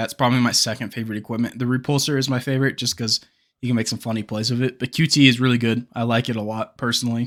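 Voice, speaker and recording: Speech comes very fast with fairly even intonation on a very clean recording with a silent background. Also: man. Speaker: gaming youtuber. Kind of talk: casual video commentary. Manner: stumbling, halting today; casual, filler-heavy.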